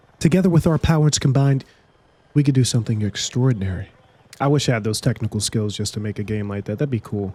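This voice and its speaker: At a very fast pace, a man with a medium pitch and a somewhat breathy voice speaks with lively intonation. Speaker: gaming YouTuber. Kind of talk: casual commentary. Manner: halting, repeats words; animated.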